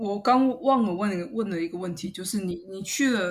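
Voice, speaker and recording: The woman's voice sits at a medium pitch and is somewhat breathy. Her intonation is lively. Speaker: podcast host. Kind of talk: interview; scripted outro.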